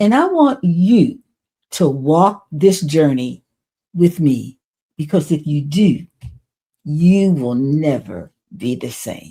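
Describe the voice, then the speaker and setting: A woman speaks in a very deep, low, somewhat breathy voice with a dark, mellow tone and lively intonation. Her pace is very slow, with long, frequent pauses. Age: 80s+. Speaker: domestic abuse survivor and trauma recovery speaker. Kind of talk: motivational talk to camera.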